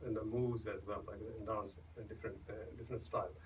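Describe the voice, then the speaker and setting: With a Punjabi accent, a man talks at a very fast pace amid noticeable background noise and audible room echo. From India, Punjab. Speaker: singer-songwriter and doctor. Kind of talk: radio interview. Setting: radio studio. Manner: halting, many fillers and restarts.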